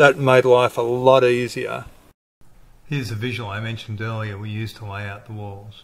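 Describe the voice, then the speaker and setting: With an Australian accent, a man at a medium pitch talks at a moderate pace with fairly even intonation and big swings in loudness. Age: 50s. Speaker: industrial designer and home builder. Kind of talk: casual video diary.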